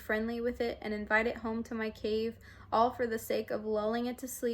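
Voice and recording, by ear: The speaker is reading aloud in a natural voice. It comes across as natural reading aloud.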